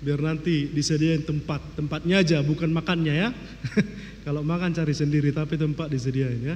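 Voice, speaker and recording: Fairly quick speech from a man, audible room echo around it. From North Sumatra, Tarutung (Batak Toba). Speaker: pastor. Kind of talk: sermon.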